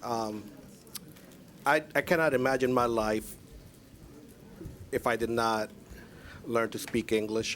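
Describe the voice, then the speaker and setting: Fairly even intonation and a fairly slow pace from a man with a medium pitch. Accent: Spanish. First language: Spanish. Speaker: school board chair. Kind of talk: public meeting remarks.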